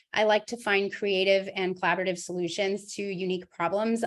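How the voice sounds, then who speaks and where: On a very clean recording with a silent background, the speech runs at a fairly quick pace. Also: woman. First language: Spanish. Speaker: school board candidate. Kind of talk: candidate forum.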